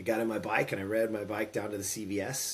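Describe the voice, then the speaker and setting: An ordinary speaking voice with an American accent at a fairly quick pace. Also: man. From California. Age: 50s. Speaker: former pro baseball player and entrepreneur. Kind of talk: interview storytelling.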